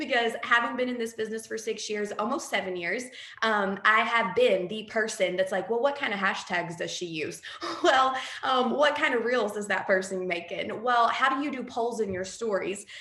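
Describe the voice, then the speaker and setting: Amid noticeable background noise and audible room echo, a woman speaks at a fairly high pitch with ordinary pitch variation. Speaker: direct sales team leader. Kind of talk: training talk on a call. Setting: group call. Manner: fast; animated.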